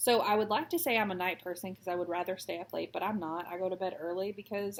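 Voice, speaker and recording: A woman talking at a very fast pace in an American accent. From Texas. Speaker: cross stitch vlogger. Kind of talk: casual chat while stitching. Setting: at home.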